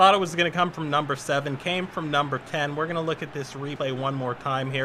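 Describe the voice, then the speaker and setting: This man has an unremarkable speaking voice with an American accent and a fairly high pitch. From US West Coast. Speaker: gaming streamer. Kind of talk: live gameplay commentary. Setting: live stream. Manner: casual, conversational.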